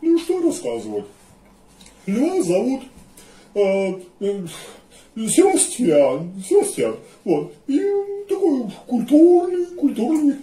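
Doing a cartoonish character voice, a man speaks fairly slowly at an extremely high pitch, his pitch swinging very widely, with long, frequent pauses. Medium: puppet.

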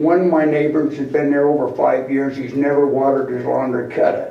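A man speaks with an American accent at a moderate pace. Audible room echo surrounds his voice. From Utah, West Valley City area. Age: 70s. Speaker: resident speaking at public comment. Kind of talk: public comment at city council meeting. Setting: city council meeting chamber. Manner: agitated.

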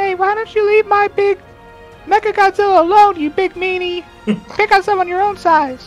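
An extremely high-pitched, put-on character voice goes at a moderate pace over faint music in the background. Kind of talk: comic put-on voice. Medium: actual play. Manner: mocking, childish taunting.

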